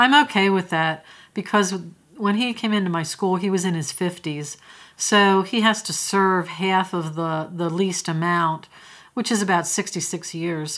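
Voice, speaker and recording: A woman's plain, everyday voice in an American accent, medium in pitch with ordinary pitch variation, at a fairly slow pace on a very clean recording with a silent background. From US Northeast, rural Pennsylvania. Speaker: retired school principal. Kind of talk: testimony.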